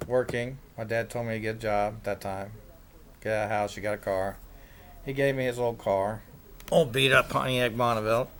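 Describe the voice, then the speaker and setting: Ordinary pitch variation, broken by long, frequent pauses. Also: man, medium pitch for a man, moderate pace. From Kansas, Kansas City area. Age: 60s. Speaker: self-described day trader. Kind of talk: casual monologue. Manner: rambling, with filler words.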